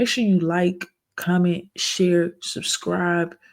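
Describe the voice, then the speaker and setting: A soft-spoken voice at a very slow pace. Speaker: reaction video creator. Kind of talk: casual commentary. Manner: halting with fillers.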